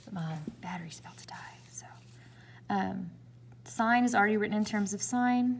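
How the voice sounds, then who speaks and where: Audible room echo surrounds a woman with a Southern US accent. She talks at a moderate pace and sounds somewhat breathy. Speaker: math teacher. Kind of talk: tutorial.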